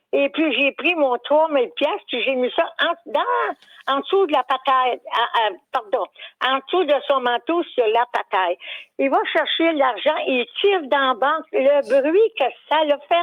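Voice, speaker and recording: In a Quebec accent, a woman talks at a fairly slow pace and high pitch, with lively intonation and very even loudness. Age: 80s+. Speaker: caller. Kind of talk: storytelling on call-in radio.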